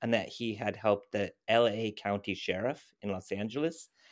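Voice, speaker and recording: On a very clean recording with a silent background, a man with an American accent speaks at medium pitch and a moderate pace in an ordinary speaking voice. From US, California. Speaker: climate activist. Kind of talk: interview.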